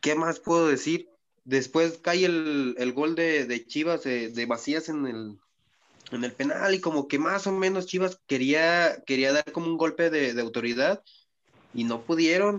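This man speaks at a fairly slow pace with a fairly high pitch and ordinary pitch variation against a quiet background. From Mexico, Michoacán. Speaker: podcast co-host. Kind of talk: casual chat.

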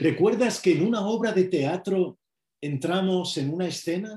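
Here a man talks at a high pitch with ordinary pitch variation and a dark, mellow tone. His pace is fairly slow. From Spain. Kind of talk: sermon.

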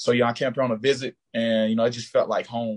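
Speaking at a very fast pace with an American accent, a man with a medium pitch comes through in a dry, close sound with no echo. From US South, rural Georgia. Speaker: college football player. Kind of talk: interview. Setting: video call.

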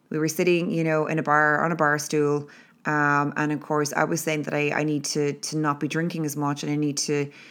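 A woman with an Irish accent, very deep and low in pitch, at a fairly quick pace, in a very clean recording with a silent background. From Ireland. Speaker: podcast host, motivational speaker. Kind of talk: solo motivational monologue. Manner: casual, filler-heavy.

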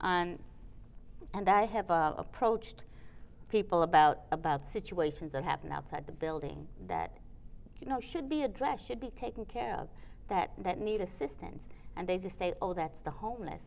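A woman with an American accent and vocal fry, lively intonation, a moderate pace and long, frequent pauses. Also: medium pitch for a woman. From Trinidad and New York. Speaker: curator and gallery owner. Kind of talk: casual chat. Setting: arts building.

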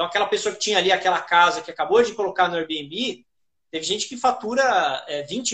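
This man talks at a moderate pace in a high pitch, with ordinary pitch variation. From Brazil, São Paulo. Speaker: short-term rental manager and educator. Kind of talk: interview on a live stream.

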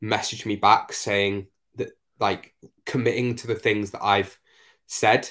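In a very clean recording with a silent background, a man with a Northumbrian accent talks at a fairly slow pace and a fairly low pitch. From northeast England, Northumberland. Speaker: fitness coach and podcast host. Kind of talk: casual chat.

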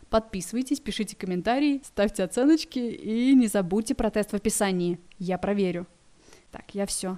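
The voice has a dark, mellow tone with ordinary pitch variation. Its loudness swings widely. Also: woman, medium pitch for a woman, moderate pace. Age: 20s. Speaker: podcast host, newcomer writer at a cable industry portal. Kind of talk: scripted casual podcast narration. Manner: informal, chatty.

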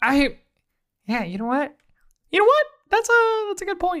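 Squeaky and extremely high-pitched, a woman does a put-on character voice with very wide pitch swings. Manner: comedic, playful.

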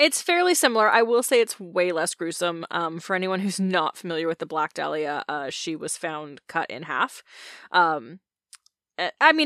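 A woman talks at a fairly slow pace, medium in pitch, with a bright, sharp tone. Her pitch swings very widely, and the sound is dry and close with no echo. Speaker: podcast co-host telling a true crime case. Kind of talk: casual storytelling. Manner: animated, conversational.

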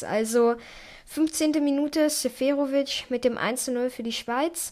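A woman's high pitch at a very slow pace with fairly even intonation. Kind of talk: solo football recap podcast. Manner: frequent fillers and hesitations.

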